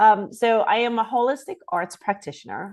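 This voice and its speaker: Against a quiet background, a woman speaks in a New York accent at a moderate pace. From Queens, New York City. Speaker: author and holistic arts practitioner. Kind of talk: interview.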